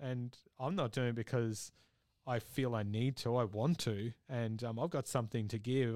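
A man with an Australian accent speaks at medium pitch and a fairly slow pace, his intonation fairly even, on a very clean recording with a silent background. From Australia, Victoria. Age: 30s. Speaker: metal band vocalist. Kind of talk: casual interview. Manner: halting, many fillers.

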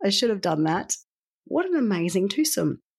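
Speaking fairly quickly in an Australian accent, a woman's voice swings very widely in pitch. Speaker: podcast host. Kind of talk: podcast outro.

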